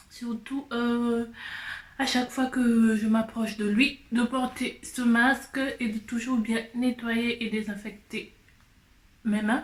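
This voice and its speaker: A woman talks at a very slow pace in a monotone, flat intonation. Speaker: vlogger. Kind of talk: casual vlog. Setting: outdoors after shopping. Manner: hesitant, many fillers.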